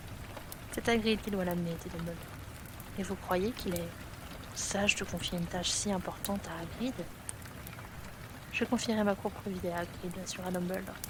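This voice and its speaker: Amid noticeable background noise and audible room echo, a soft-spoken woman talks at a moderate pace with fairly even intonation and long, frequent pauses. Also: medium pitch for a woman. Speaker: ASMR creator. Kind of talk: reading aloud.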